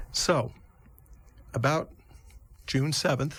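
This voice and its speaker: The voice carries vocal fry. The recording is very clean, with a silent background. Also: man. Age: 60s. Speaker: neurologist. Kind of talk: interview.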